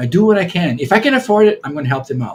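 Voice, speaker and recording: Somewhat breathy, a man speaks at a fairly quick pace with lively intonation. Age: 70s. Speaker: Hawaiian healing practitioner. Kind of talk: podcast interview. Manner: halting, many repetitions.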